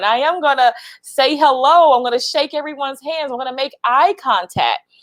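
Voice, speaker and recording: The woman's pitch sits high. She keeps a moderate pace. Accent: Southern US. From US South, Lower Alabama. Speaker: HR professional and speaker. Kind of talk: livestream talk. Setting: LinkedIn live video.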